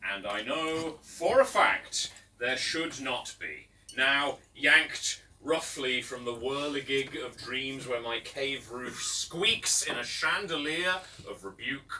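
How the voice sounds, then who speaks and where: A man with an English accent and a fairly high pitch, at a very slow pace, with ordinary pitch variation, big swings in loudness and noticeable background noise. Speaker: poet. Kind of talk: live poetry reading. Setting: live bar audience.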